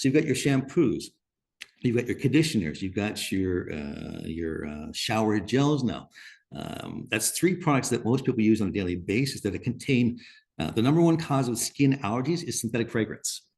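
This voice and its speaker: A man's medium-pitched voice with very wide pitch swings and vocal fry, at a moderate pace over a quiet background. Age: 60s. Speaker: natural skincare company founder. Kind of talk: webinar panel talk. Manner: halting.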